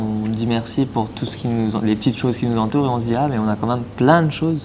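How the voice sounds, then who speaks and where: A man with a medium pitch and fairly even intonation talks over noticeable background noise. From Mauritius. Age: 20s. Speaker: eco-association co-founder, traveler. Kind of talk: podcast interview.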